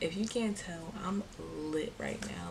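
Over noticeable background noise, a woman speaks in a fairly low pitch with ordinary pitch variation. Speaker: vlogger. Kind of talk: casual vlog chat. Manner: tipsy, loose, giggly speech. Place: home room. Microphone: phone near.

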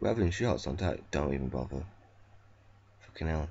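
Intonation rises and falls in a lively way. Vocal fry creeps into the voice. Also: man. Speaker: gaming video creator. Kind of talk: gameplay commentary.

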